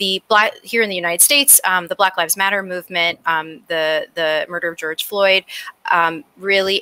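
A woman with a plain, everyday voice speaks at a moderate pace in an American accent, at a medium pitch. Her intonation is fairly even, and the sound is dry and close with no echo. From New York City (Brooklyn). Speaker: climate nonprofit director. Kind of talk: panel discussion.

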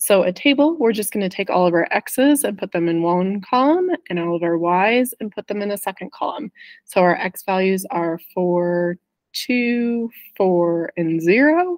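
A woman speaks at a fairly slow pace. The background is quiet. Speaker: math teacher. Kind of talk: tutorial. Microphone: webcam.

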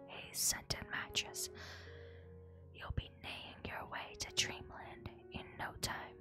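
Someone whispers over music playing in the background. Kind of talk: ASMR reading of game item descriptions. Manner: soft, quiet ASMR delivery.

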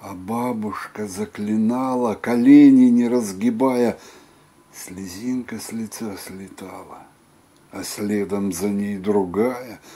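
Very slowly, a man speaks with fairly low pitch. His intonation stays fairly even. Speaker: poetry reader. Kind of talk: poetry reading. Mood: calm, reflective. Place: home room. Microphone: webcam.

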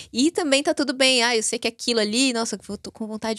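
Over a quiet background, a woman talks at a very fast pace with a fairly high pitch. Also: dry sound with no echo. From Brazil, Natal (Rio Grande do Norte); Rio Grande do Norte, Brazil. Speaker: biohacking and epigenetics expert; podcast guest. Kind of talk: interview conversation. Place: studio. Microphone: studio mic.

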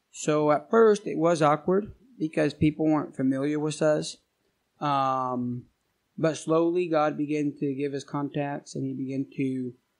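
A man with an American accent has an unremarkable speaking voice, pitched fairly high. His intonation stays fairly even against a quiet background. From Argentina. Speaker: missionary.

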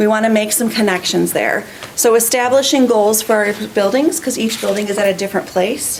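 Ordinary pitch variation and a fairly quick pace come through noticeable background noise. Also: woman, fairly high pitch for a woman. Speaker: school principal. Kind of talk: presentation at a school board meeting. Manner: fast.

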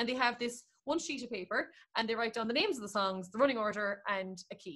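A woman speaks with a bright, sharp tone at a fairly high pitch. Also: ordinary pitch variation, fairly quick pace.

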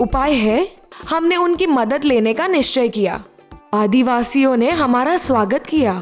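With music in the background, a woman speaks in very wide pitch swings. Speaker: voice over artist. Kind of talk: children's story narration. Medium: read story.

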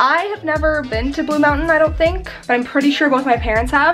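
Faint music sits in the background as a woman talks at a fairly quick pace. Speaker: vlogger. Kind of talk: casual vlog chat. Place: home room. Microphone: phone near.

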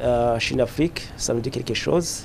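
Pitch moves in an ordinary way at a fairly slow pace. Light background noise sits behind the voice. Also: man. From Burundi. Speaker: politician. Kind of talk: press statement. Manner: formal; hesitant with fillers. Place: hall. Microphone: handheld.

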